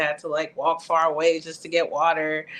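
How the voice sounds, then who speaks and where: Speaking with a New York accent, a woman with a fairly low voice keeps a moderate pace. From New York, Bronx (early childhood Honduras). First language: Spanish. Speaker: poet. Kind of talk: casual interview.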